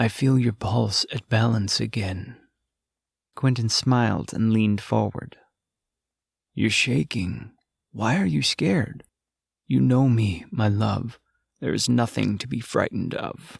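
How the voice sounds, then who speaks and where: A man performs a put-on character voice with ordinary pitch variation and long, frequent pauses. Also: medium pitch for a man, fairly slow pace. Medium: read story. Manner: intimate, low, insistent.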